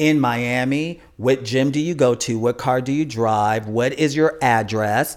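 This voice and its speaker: This man has a plain, everyday voice with an American accent, pitched medium with ordinary pitch variation. The recording is very clean, with a silent background. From Chicago, US Midwest. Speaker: funeral and cemetery consultant. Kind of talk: interview.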